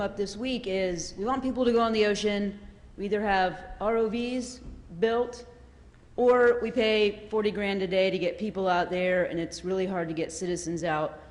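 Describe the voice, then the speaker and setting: A woman with an American accent, fairly high in pitch, at a moderate pace with ordinary pitch variation and audible room echo. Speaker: audience member asking a question. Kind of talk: audience question at panel. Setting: conference hall with audience.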